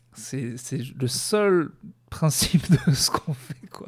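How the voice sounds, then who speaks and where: The man's voice sits fairly high in pitch. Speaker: stand-up comedian and podcaster. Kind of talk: stand-up comedy, deadpan dark-humor routine on tour, news and depression jokes. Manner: rambling, halting, hesitant with many fillers and restarts.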